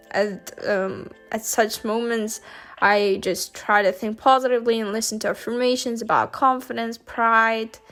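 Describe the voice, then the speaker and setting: A woman with a non-native accent speaks at a moderate pace in a fairly high voice. Her intonation is monotone and flat, with music in the background. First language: not English. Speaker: university student. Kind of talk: casual talk to camera.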